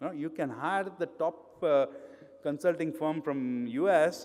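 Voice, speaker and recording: His pitch variation is ordinary. The man's voice sits fairly high in pitch. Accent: Indian. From India, grew up in Mumbai. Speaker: pharmaceutical quality consultant, conference speaker. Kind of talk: conference talk. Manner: hesitant, with frequent fillers.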